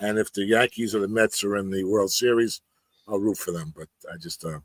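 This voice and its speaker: The voice has a New York accent and moves at a fairly quick pace with ordinary pitch variation. The sound is dry and close, with no echo. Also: man. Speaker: reseller. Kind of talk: casual chat. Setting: live stream.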